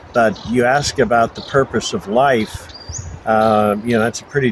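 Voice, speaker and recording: A medium-pitched man with an American accent at a fairly slow pace, with noticeable background noise. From US Northeast (Buffalo, New York). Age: 70s. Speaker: interviewee. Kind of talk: casual interview. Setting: outdoors in front of a monastery.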